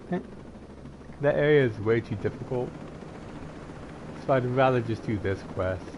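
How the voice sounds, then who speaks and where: A man's medium-pitched voice with long, frequent pauses against noticeable background noise. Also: ordinary pitch variation, moderate pace. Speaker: gaming streamer. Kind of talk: live gameplay commentary. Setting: live stream. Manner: casual, halting with repetitions.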